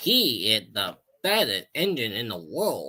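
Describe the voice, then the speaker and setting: A man speaks in a put-on character voice. His pitch sits in the medium range. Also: fairly slow pace. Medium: read story.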